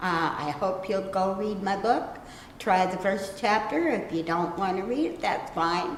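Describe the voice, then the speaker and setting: Amid noticeable background noise and audible room echo, a woman speaks at a fairly slow pace with a medium pitch and ordinary pitch variation. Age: 60s. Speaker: self-published author. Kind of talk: interview talk. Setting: library.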